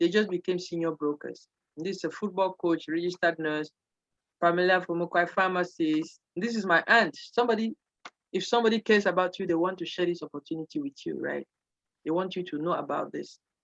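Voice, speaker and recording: A woman talks at a fairly quick pace in a fairly low pitch with ordinary pitch variation. The sound is dry and close, with no echo. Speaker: pastor presenting a financial business opportunity. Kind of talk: seminar sales pitch. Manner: fast.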